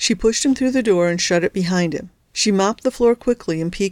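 A reading voice that sounds unforced

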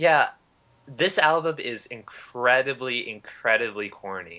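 This is a normal speaking voice with ordinary pitch variation. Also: man. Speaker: co-host. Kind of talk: casual banter podcast.

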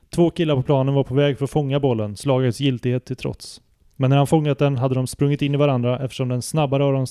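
The voice here is reading aloud in a natural voice.

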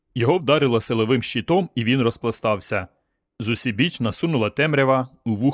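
Quiet background behind an unforced reading voice.

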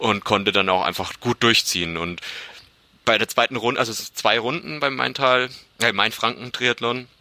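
At an unhurried, moderate pace, a man talks in an unremarkable speaking voice, his pitch rising and falling in the usual way. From Franconia, Germany (Bamberg). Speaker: amateur triathlete and podcaster. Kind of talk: casual interview chat.

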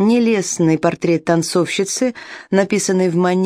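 The pitch moves up and down in an ordinary way. It's read in a natural voice.

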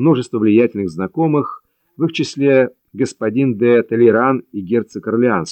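With a quiet background, an unforced reading voice carries ordinary pitch variation.

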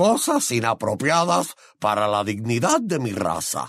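Using a put-on character voice, a man speaks at a fairly slow pace in a medium pitch. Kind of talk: formal, proud. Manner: gruff, curt, not human.

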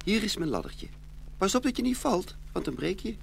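Putting on a character voice with vocal fry, a man talks at a high pitch and fairly quick pace, his pitch swinging very widely.

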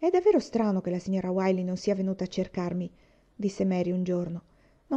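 Someone is reading aloud in a natural voice. Nothing else stands out.

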